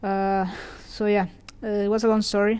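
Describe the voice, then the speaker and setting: A woman speaks with a Spanish accent at a fairly quick pace. Her tone is dark and mellow. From Venezuela. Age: 20s. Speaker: hotelier and podcast host. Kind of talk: personal storytelling monologue. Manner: fast; hesitant, many fillers.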